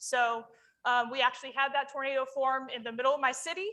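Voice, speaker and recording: A loud woman's voice with a bright, sharp tone at a fairly quick pace. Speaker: emergency manager. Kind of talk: conference presentation. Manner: animated.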